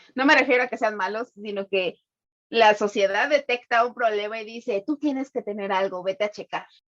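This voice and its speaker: A woman talks at a fairly quick pace in a normal speaking voice, fairly high in pitch with ordinary pitch variation. The sound is dry and close, with no echo. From Mexico, Tapachula (Chiapas). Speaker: podcast co-host. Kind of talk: casual chat.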